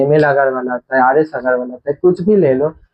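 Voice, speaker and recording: A man speaks with a non-native accent. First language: not Hindi (speaking Hindi). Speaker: math teacher. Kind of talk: lecture. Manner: halting; casual.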